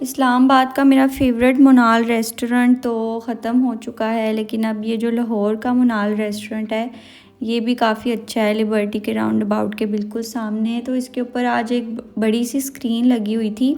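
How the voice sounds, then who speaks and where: Pitched fairly high, a woman speaks with monotone, flat intonation and hardly any pauses. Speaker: vlogger. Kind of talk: shopping vlog.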